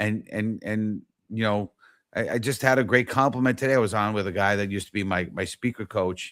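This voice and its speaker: Fairly even intonation carries a New York accent. The pace is fairly quick. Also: man, fairly low pitch for a man. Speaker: talk show host. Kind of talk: casual interview chat. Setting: live online show.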